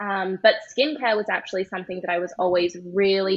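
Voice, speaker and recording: A woman speaks with an Australian accent and medium pitch. Her pace is fairly quick and her intonation fairly even. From Australia (Perth). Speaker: skincare brand founder. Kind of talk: casual interview.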